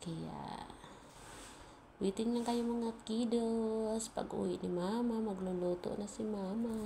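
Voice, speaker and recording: Soft-spoken and very slow, a woman talks at a fairly high pitch with monotone, flat intonation, amid noticeable background noise and audible room echo. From Philippines. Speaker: cooking vlogger. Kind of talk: cooking tutorial. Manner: casual.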